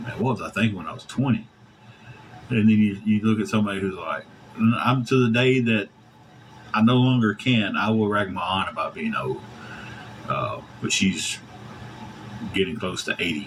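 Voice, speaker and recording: Against noticeable background noise, a man at medium pitch speaks with long, frequent pauses. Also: moderate pace. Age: 40s. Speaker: livestreamer. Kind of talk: casual chat. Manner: animated.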